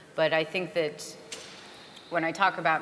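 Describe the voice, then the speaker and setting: A woman's fairly low, flat, monotone voice over noticeable background noise. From France (Paris). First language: French. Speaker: conference panelist. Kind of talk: panel Q&A answer.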